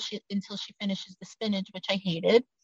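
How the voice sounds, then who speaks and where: A woman with a New York accent in a dry, close sound with no echo. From Brooklyn, New York. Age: 50s. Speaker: author and abuse survivor advocate. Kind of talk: testimony.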